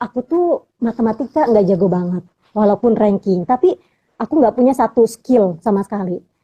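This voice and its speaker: A woman's somewhat breathy voice with a dark, mellow tone comes across with a dry, close sound and no echo. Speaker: poetry recitation champion. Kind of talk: casual interview. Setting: live video stream.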